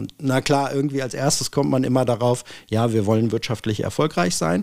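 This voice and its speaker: A man speaks in an ordinary speaking voice at a moderate pace, with ordinary pitch variation. The recording is very clean, with a silent background. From Hanover, northern Germany. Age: 40s. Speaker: property management executive. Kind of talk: casual interview.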